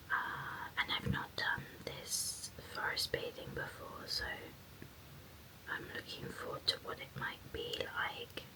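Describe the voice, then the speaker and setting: A woman whispering in a calm, gentle tone at a very slow pace, with noticeable background noise. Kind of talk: whispered ASMR ramble to camera while painting nails. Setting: close-mic studio recording. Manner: soft-spoken, calm, gentle, unhurried.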